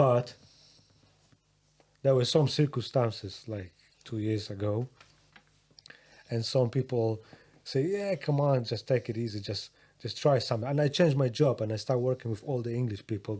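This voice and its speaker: A man with a Polish accent speaks at a moderate pace and medium pitch with a dark, mellow, somewhat breathy tone, ordinary pitch variation and long, frequent pauses. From Poland. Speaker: rapper and music producer. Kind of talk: casual chat. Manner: halting.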